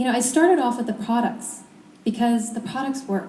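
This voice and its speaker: A woman is heard with audible room echo. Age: 20s. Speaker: network marketing speaker. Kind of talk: motivational talk. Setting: stage with audience. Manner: fast; animated.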